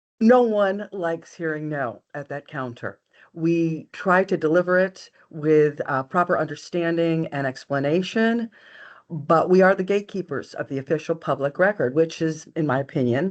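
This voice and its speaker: Against a quiet background, a woman with a normal speaking voice talks at a moderate pace and fairly low pitch with ordinary pitch variation. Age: 60s. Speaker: county register of deeds. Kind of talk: webinar presentation.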